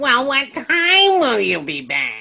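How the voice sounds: A female-sounding voice puts on a whiny character voice pitched high.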